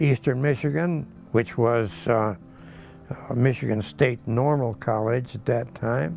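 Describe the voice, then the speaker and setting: A man's medium-pitched voice at a fairly slow pace over music in the background. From Michigan, near Ypsilanti. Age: 80s+. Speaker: retired teacher and farmer. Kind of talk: interview answer.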